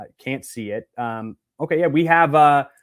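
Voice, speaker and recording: Pitched fairly high, a man speaks with ordinary pitch variation. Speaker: webinar presenter. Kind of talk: webinar Q&A. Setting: online webinar. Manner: fast; animated.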